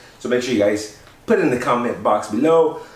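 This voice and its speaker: Over noticeable background noise and audible room echo, a man talks in an upbeat tone at a medium pitch. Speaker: men's grooming youtuber. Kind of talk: tutorial. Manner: casual, upbeat.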